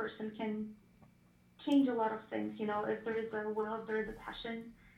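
A woman with a fairly high voice talks in a room with audible echo. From Ukraine. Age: young. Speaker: missionary. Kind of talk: interview. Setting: phone call.

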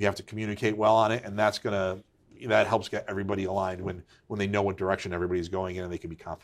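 In a very clean recording with a silent background, a man with an American accent talks very fast in a flat, monotone delivery. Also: fairly low pitch for a man. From Connecticut, Waterbury. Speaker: business executive. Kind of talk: interview. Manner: conversational with frequent fillers and repetitions.

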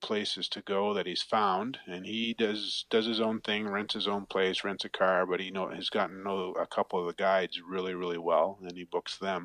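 A man with an Ontario accent speaks in a fairly low, monotone, flat voice at a moderate pace, recorded dry and close with no echo against a quiet background. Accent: Canadian (Ontario). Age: 50s. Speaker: fly fishing guide. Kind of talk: casual interview chat.

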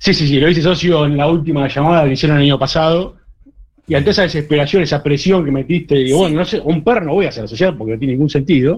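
Breathing somewhat audibly, a man speaks at a very fast pace. His pitch is fairly high, with ordinary variation. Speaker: accountant, listener caller. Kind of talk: casual chat.

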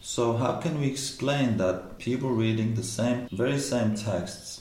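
A man with an Arabic accent speaks over noticeable background noise. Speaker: postdoctoral researcher in Islamic studies. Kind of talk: casual academic discussion. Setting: around a table during a coffee break.

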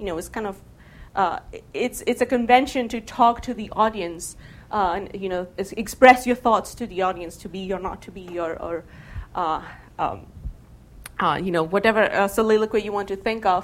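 A woman talks at a moderate pace and medium pitch, with ordinary pitch variation. Her loudness swings widely. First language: not English. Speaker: game studies researcher. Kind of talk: lecture. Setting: stage with audience.

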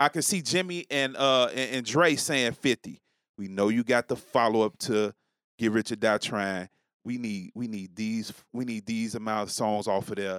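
In a very clean recording with a silent background and a dry, close sound with no echo, a man with an American accent talks at a moderate pace and medium pitch with ordinary pitch variation, an unremarkable speaking voice. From New York City. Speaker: podcast guest. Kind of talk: casual chat.

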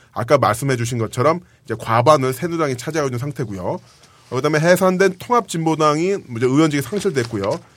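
A man talks at a very fast pace. His voice sits fairly high and has lively intonation. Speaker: podcast host. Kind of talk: casual chat. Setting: studio.

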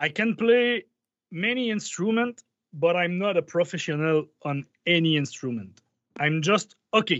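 A man speaks with a Quebec accent. His voice is high, and his intonation is lively. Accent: Québécois French-accented English. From Quebec, Canada. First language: French. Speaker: musician. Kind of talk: casual interview chat. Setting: video call. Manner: halting.

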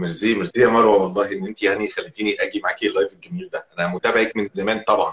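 The pace of this man's speech is very fast. His voice sounds dry and close, without any echo. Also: hardly any pauses. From Egypt, Alexandria. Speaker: podcaster and corporate employee. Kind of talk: casual chat.

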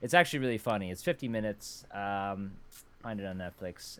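Fairly quick speech from a man with a normal speaking voice and fairly low pitch, on a very clean recording with a silent background. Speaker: podcast host. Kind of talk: casual chat. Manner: jokey.

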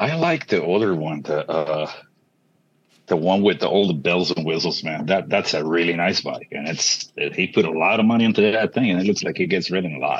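This man's voice sits very deep and low, with ordinary pitch variation. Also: fairly quick pace. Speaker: motorcyclist asking a question. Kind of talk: casual chat. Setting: video call.

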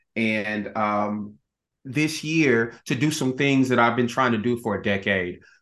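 An American accent from a man with an ordinary speaking voice, medium pitch, ordinary pitch variation and a fairly slow pace. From Texas, Dallas. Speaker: actor and singer. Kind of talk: interview.

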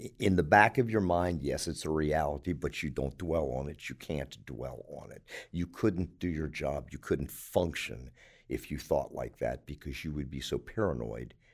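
With an American accent, a man speaks at a very deep, low pitch with vocal fry, a moderate pace, ordinary pitch variation and big swings in loudness, on a very clean recording with a silent background. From Baltimore, Maryland. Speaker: retired police officer, hospital security. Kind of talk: interview.

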